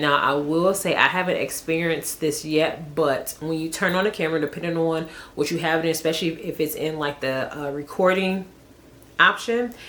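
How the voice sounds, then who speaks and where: A woman speaks at a fairly low pitch over noticeable background noise. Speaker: vlogger and hair stylist. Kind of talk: casual chat to camera. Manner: fast; casual, filler-heavy.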